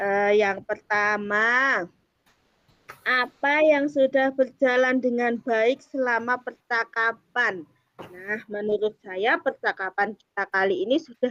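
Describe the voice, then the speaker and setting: Dry and close with no echo, a woman's fairly high voice moves at a very slow pace with ordinary pitch variation. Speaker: teacher acting as coach in a coaching practice session. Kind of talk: coaching conversation and self-reflection. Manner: hesitant, many filler sounds; polite, formal.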